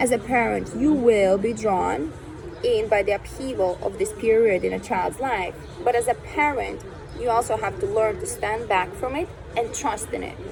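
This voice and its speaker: Over music in the background, a woman talks with a non-native accent, and room echo can be heard. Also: moderate pace. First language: not English. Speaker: reader of spiritual texts. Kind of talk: reading aloud.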